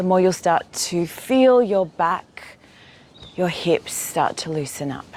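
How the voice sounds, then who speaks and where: Spoken at a fairly slow pace with an Australian accent, the voice has lively intonation over noticeable background noise. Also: woman. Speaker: yoga teacher. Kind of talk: guided exercise class.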